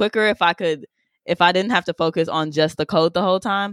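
An ordinary speaking voice with fairly even intonation comes through dry and close with no echo, on a very clean recording with a silent background. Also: woman. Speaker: coding teacher and juice bar founder. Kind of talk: casual chat.

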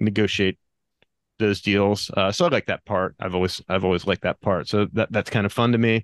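A man speaks in a plain, everyday voice, fairly low in pitch and fairly even in intonation, at a fairly quick pace, with a dry, close sound and no echo. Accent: American. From Pennsylvania, US. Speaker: land investor. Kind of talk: interview.

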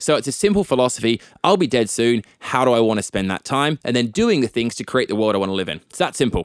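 Speaking with an Australian accent at a very fast pace with hardly any pauses, a man uses medium pitch and lively intonation in a dry, close sound with no echo. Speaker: tech entrepreneur and activist. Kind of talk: interview conversation. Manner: articulate.

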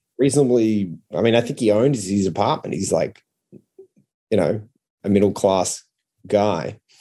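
With an Australian accent, a man speaks at a fairly slow pace in a fairly low pitch, his tone dark and mellow and his pitch varying in an ordinary way. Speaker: comedian. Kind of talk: casual chat.

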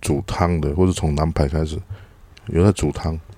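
A man speaks with a dark, mellow tone. He keeps a moderate pace. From Taiwan. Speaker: podcast co-host, teacher. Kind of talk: casual chat.

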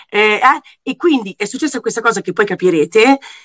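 A woman's ordinary speaking voice, fairly high in pitch, at a moderate pace, with a dry, close sound and no echo. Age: 40s. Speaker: TV presenter. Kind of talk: casual chat.

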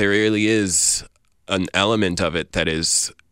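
The recording is very clean with a silent background, and a man with an American accent talks using ordinary pitch variation. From Iran, raised in the US. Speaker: poet. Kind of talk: interview.

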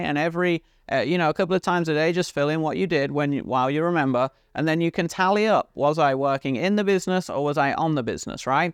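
In a British accent, an animated, energetic voice moves at a fairly quick pace with ordinary pitch variation, sounding dry and close with no echo over a quiet background. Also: man. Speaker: podcast host and business coach. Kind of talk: motivational business monologue.

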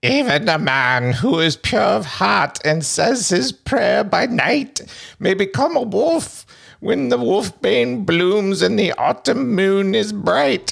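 A put-on character voice speaks at a middle pitch. The pace is fairly slow, with very wide pitch swings.

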